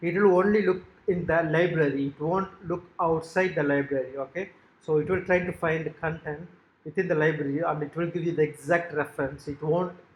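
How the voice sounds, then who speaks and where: This man speaks at a moderate pace with a Tamil accent and fairly even intonation. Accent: South Asian (Tamil) English. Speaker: software developer demonstrating own website. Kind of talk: tutorial. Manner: halting, frequent fillers.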